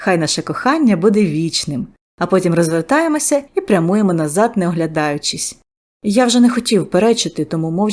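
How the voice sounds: Lively intonation from a natural reading voice, with a quiet background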